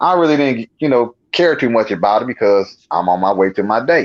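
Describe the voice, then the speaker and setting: An animated man talks at a moderate pace with an American accent. The sound is dry and close, with no echo. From Nebraska. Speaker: paranormal experiencer. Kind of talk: storytelling in casual interview.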